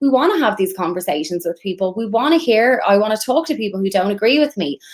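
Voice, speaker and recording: Her pitch fairly high, a woman talks at a fairly quick pace with lively intonation. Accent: Irish. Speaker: immigration lawyer. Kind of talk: interview.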